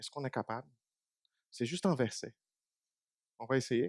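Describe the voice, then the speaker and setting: The dry, close recording with no echo captures a man with a Portuguese accent speaking at a medium pitch. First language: Portuguese (speaking French). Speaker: preacher. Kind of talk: sermon.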